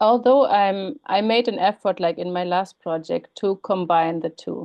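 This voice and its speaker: Fairly slow speech with a German accent and ordinary pitch variation. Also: woman, medium pitch for a woman. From Germany. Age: 40s. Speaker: writer and academic. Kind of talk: interview. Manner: hesitant, many fillers.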